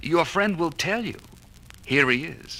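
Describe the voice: Using a put-on character voice, a man speaks slowly with fairly high pitch, lively intonation and a bright, sharp tone.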